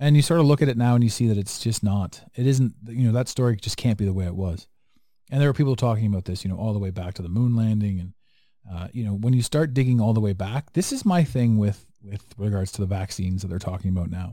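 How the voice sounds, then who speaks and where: Dark and mellow in tone, a man's fairly low voice moves at a very fast pace. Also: ordinary pitch variation. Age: 40s. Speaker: podcast host. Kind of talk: casual chat. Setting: video call. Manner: animated.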